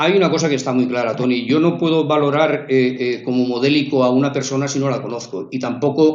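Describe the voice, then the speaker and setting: The man talks fairly quickly in a medium register, his pitch shifting in an ordinary way. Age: 60s. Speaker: local resident, community activist. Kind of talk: radio interview. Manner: halting, many fillers and repetitions.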